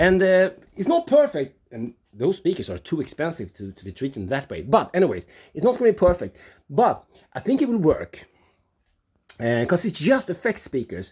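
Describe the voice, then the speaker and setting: On a very clean recording with a silent background, a high-pitched man speaks at a moderate pace with long, frequent pauses, very wide pitch swings and big swings in loudness. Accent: non-native. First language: not English. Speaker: home studio builder, video blogger. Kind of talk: casual video vlog tour. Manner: halting, with frequent fillers and restarts.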